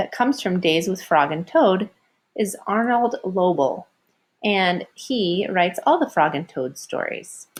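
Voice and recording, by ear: A woman with a medium pitch and a slightly husky edge talks at a fairly slow pace with lively intonation.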